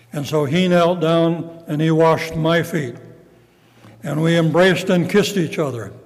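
Over noticeable background noise, a man with a high pitch talks at a moderate pace with fairly even intonation. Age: 80s+. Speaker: retired pastor and evangelist. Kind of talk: sermon. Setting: church.

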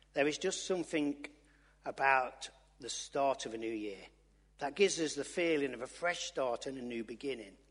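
Speaking with an East Midlands accent, a man uses a bright, sharp tone at a fairly high pitch, moderate pace and ordinary pitch variation. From Loughborough, English East Midlands. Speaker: lay preacher. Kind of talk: sermon. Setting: church.

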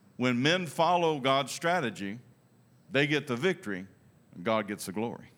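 In a very clean recording with a silent background, a man with a Texan accent speaks at medium pitch and a moderate pace, with very wide pitch swings and long, frequent pauses. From Texas. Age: 60s. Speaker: pastor. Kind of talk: sermon. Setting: church with congregation.

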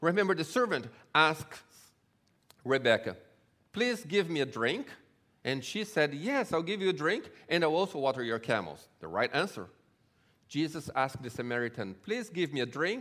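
A man with a fairly high pitch and a bright, sharp tone speaks at a moderate pace, using very wide pitch swings and vocal fry. He leaves long, frequent pauses in a very clean recording with a silent background. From Brazil. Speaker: Bible tour guide and guest speaker. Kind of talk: sermon. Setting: church.

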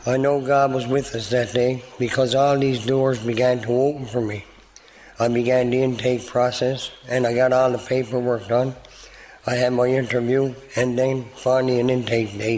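Over noticeable background noise, a man with a Newfoundland accent speaks at a moderate pace and medium pitch in a monotone, flat intonation. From Newfoundland, Canada (St. John's). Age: 50s. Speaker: recovery program graduate. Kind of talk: testimony.

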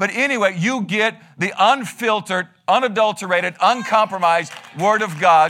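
Over noticeable background noise, a man with a high pitch speaks in a raised, projected voice with an animated tone. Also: ordinary pitch variation. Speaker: pastor. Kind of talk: sermon. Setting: church. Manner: fast.

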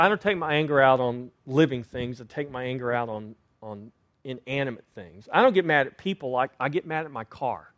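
A man talks at a moderate pace at a medium pitch. His pitch varies in an ordinary way. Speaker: pastor. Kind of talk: sermon. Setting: church. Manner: loud.

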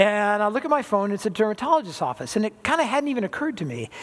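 A high-pitched man at a very fast pace with lively intonation. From Southern California. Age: 60s. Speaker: pastor. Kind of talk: sermon.

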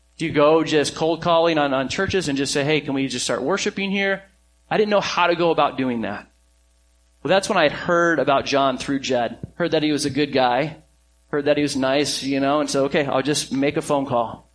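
An unremarkable speaking voice from a man, fairly high in pitch with ordinary pitch variation, at a fairly quick pace. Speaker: pastor. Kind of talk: sermon. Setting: church.

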